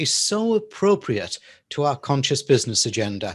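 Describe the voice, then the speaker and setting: Over a quiet background, a man with an English accent speaks in a somewhat breathy voice with very wide pitch swings. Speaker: talk show host. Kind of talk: interview. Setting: studio.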